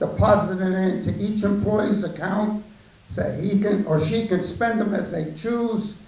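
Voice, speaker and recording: A man's high, monotone, flat voice at a fairly slow pace, with audible room echo and noticeable background noise. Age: 80s+. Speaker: war veteran, audience member at town hall. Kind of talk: public comment at town hall. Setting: town hall meeting, room with audience.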